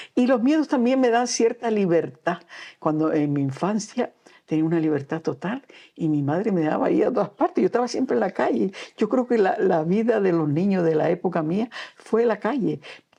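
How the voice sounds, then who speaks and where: A woman with a dark, mellow tone and medium pitch speaks at a moderate pace, her pitch swinging very widely while her loudness stays very even. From Canary Islands, Gran Canaria. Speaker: children's author and storyteller. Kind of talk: interview. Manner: halting.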